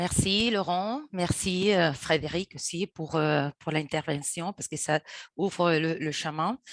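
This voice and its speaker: A woman with a non-native accent speaks very slowly at a fairly low pitch. The sound is dry and close with no echo, over a quiet background. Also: ordinary pitch variation. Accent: foreign accent in French. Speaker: activist. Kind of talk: webinar presentation. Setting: video call. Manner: halting, hesitant.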